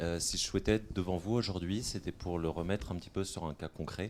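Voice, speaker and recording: This is a man speaking. He has a dark, mellow tone. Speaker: former B2B sales caller, conference speaker. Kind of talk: short talk at a conference.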